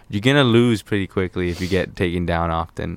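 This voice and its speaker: The recording is very clean, with a silent background. A man with a very deep, low pitch speaks at a moderate pace. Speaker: guest. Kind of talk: casual chat about a video game. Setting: studio. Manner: relaxed, halting, casual.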